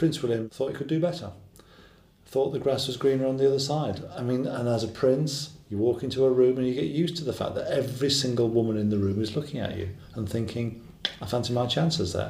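A man rattles off his words at a very fast pace, his pitch in the medium range. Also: ordinary pitch variation. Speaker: royal commentator. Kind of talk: documentary interview.

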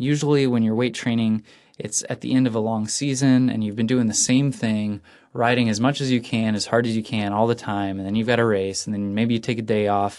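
A man's plain, everyday voice at medium pitch, fairly quick and fairly even, against a quiet background. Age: 20s. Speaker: cycling podcast host. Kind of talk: solo podcast monologue. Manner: casual with many fillers.

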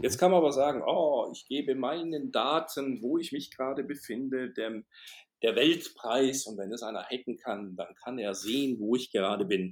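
A man speaks at a medium pitch with ordinary pitch variation. His pace is moderate, and his loudness swings widely. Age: 50s. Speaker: motivational speaker and management trainer. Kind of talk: interview.

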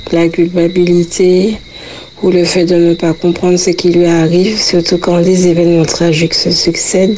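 Noticeable background noise sits under a woman speaking at fairly low pitch with very even loudness and monotone, flat intonation. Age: 30s. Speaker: faith testimony guest. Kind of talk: testimony. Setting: recorded interview.

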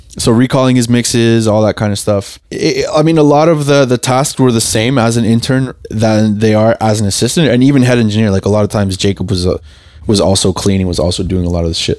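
Man at a medium pitch with ordinary pitch variation, talking at a very fast pace with hardly any pauses. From Uruguay. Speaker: audio engineer. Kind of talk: casual interview.

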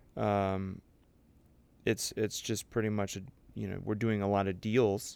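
Pausing long and often, a man speaks fairly slowly in a flat, monotone voice at a fairly low pitch. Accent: American. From US Midwest, St. Louis, Missouri. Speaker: former Navy SEAL officer, now in finance business. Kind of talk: casual interview chat.

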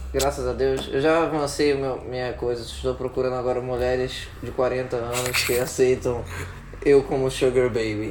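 A man talks in a monotone, flat way. Audible room echo and noticeable background noise surround him. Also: medium pitch for a man, moderate pace. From Rio de Janeiro, Brazil. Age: 20s. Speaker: podcast co-host. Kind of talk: casual chat.

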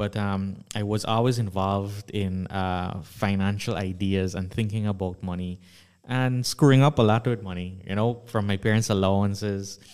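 Speaking at a moderate pace, a man uses fairly even intonation and a fairly low pitch. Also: very clean recording, silent background. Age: 20s. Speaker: finance content creator. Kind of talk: panel discussion. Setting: studio. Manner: halting, many fillers.

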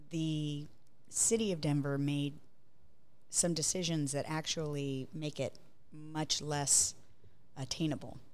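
A woman's very deep, low voice at a very slow pace, with long, frequent pauses, fairly even intonation and audible room echo. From Hawaii, Honolulu. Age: 50s. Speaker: architecture business developer. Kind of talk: casual interview.

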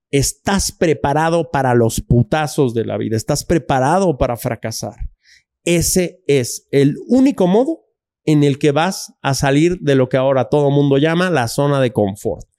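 A man with a fairly high, dark and mellow voice, fairly slow, with ordinary pitch variation, in a very clean recording with a silent background and a dry, close sound with no echo. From Mexico City. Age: 40s. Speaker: filmmaker and author. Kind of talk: casual interview chat.

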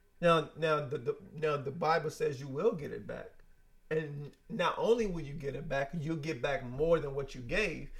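A man's fairly high, somewhat breathy voice with big swings in loudness. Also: ordinary pitch variation, moderate pace. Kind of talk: casual faith-based podcast conversation. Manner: stutters, laughs at himself.

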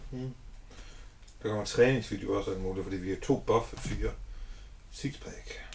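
With long, frequent pauses, a man speaks at a moderate pace. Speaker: podcast co-host, house painter. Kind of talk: casual chat.

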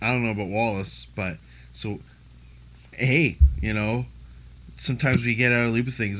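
At a moderate pace, a man speaks in a fairly low voice with ordinary pitch variation. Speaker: podcast host. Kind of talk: casual chat.

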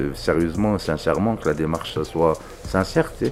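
A man is speaking. Music plays in the background. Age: 40s. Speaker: inmate on outside placement. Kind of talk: interview testimony. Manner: casual, hesitant with fillers.

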